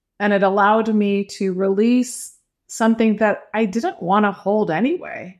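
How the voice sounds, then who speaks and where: A woman with a plain, everyday voice speaks at a moderate pace in a fairly high pitch, with ordinary pitch variation, very even loudness and a quiet background. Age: 50s. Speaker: life coach. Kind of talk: interview.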